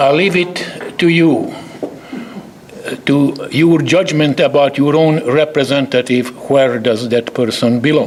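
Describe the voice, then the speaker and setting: In a Hungarian accent, a man speaks at a very slow pace with lively intonation. Noticeable background noise runs underneath. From Hungary. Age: 80s+. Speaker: chemist, award recipient. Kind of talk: award acceptance speech.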